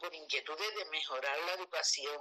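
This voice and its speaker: A woman is speaking. Her tone is bright and sharp. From Andalusia, Seville. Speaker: retired teacher. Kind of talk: casual chat. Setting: live online audio room.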